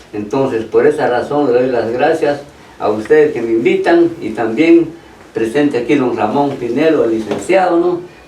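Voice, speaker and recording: A man talks at a moderate pace with a medium pitch. His pitch varies in an ordinary way, and there is noticeable background noise. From Petén, Guatemala (San Andrés). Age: 80s+. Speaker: brother of honoree, interviewee. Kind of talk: radio interview, reminiscing.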